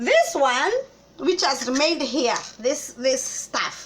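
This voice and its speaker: Very slowly, a woman speaks in a high voice with a Kenyan accent. Noticeable background noise is present. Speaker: cooking vlogger. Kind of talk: casual vlog chat.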